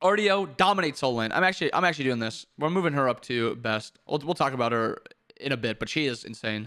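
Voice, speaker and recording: Talking at a very fast pace, a man with a fairly high, bright and sharp voice makes very wide pitch swings. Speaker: gaming video creator. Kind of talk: game commentary tier list.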